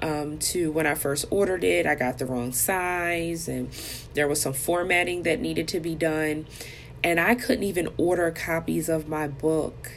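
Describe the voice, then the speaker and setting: A woman speaks at a moderate pace in a very deep, low voice with ordinary pitch variation, with noticeable background noise around her. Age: 40s. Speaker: life coach podcast host. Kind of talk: personal monologue.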